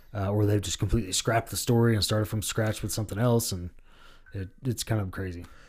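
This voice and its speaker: At a very fast pace, a man talks in a fairly low, somewhat breathy voice with fairly even intonation. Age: 30s. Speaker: rapper and ring announcer. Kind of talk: casual chat.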